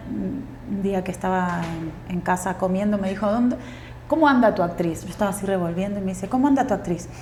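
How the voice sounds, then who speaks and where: Amid audible room echo, a woman with a medium pitch speaks in a somewhat breathy voice. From Uruguay. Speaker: actress and tango dancer. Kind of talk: podcast interview.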